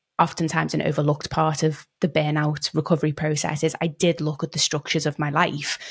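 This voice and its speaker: Fairly quick and somewhat breathy, a woman speaks with a very deep, low pitch. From Liverpool, England. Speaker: podcast host and coach, former lawyer. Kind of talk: interview, being interviewed about own life.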